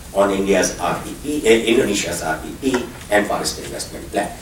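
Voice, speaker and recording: Audible room echo and noticeable background noise surround a man who talks at a fairly quick pace with ordinary pitch variation. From Philippines, Cordillera region. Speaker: panel moderator. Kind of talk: panel introduction.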